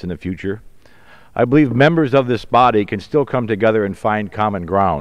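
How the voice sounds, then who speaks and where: With an American accent and lively intonation, a man uses an ordinary speaking voice against a quiet background. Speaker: congressman, physician. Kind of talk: congressional floor speech.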